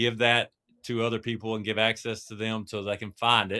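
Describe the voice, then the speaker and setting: This voice carries an East Texas accent. The delivery is monotone and flat at a moderate pace. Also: man. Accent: East Texas twang. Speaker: podcast co-host. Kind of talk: podcast interview.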